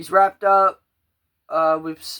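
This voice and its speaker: On a very clean recording with a silent background, a man with a bright, sharp tone talks at a moderate pace in a monotone, flat intonation. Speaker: podcast host. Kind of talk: casual chat.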